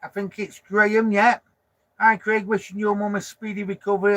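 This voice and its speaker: The speaker is a man. His voice sits high in pitch. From northern England, Lancashire (Preston). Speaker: vanlife vlogger. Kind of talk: casual live stream chat reading comments. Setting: parked up in a van, live stream. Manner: chatty, informal.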